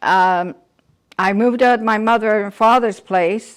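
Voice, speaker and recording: A woman's fairly high voice in a Canadian accent, very slow, with fairly even intonation, on a very clean recording with a silent background. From Toronto, Canada. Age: 70s. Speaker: church member. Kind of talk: testimony. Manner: halting.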